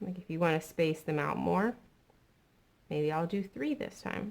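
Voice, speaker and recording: A woman talks in a plain, everyday voice. Her pitch is fairly low and her intonation lively. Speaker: art teacher. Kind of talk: tutorial. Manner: casual, friendly.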